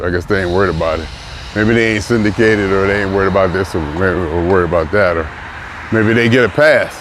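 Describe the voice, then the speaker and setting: A man talks at a very deep, low pitch with ordinary pitch variation. Noticeable background noise runs underneath. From US city he lives in. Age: 60s. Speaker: vlogger. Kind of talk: casual monologue. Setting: outdoors, walking in the city.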